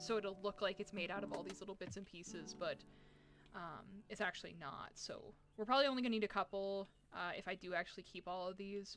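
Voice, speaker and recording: With music in the background, a soft-spoken woman talks at a fairly quick pace. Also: medium pitch for a woman, fairly even intonation. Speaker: game developer streamer. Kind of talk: live stream tutorial. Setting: live stream. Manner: hesitant, many fillers.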